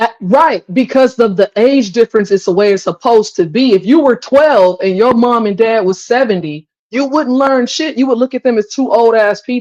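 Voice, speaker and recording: Recorded with a dry, close sound and no echo, a woman has a normal speaking voice with a fairly high pitch. Her intonation is lively, and she leaves hardly any pauses. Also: moderate pace. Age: 40s. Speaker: live stream talk show host. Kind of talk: casual live-stream debate. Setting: live stream, kitchen.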